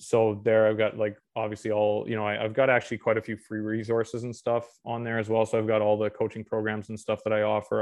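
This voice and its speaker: With a Canadian accent, a man speaks at a fairly quick pace in a fairly low pitch. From Western Canada, Alberta. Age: 30s. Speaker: registered dietitian. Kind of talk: interview.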